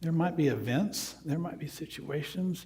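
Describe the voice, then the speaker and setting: Delivered at a fairly slow pace in a strong Southern US accent, the speech has an animated tone, ordinary pitch variation and audible room echo. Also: man. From US South, North Carolina. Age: 50s. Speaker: spiritual counselor and guest speaker. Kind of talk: sermon. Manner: conversational, animated.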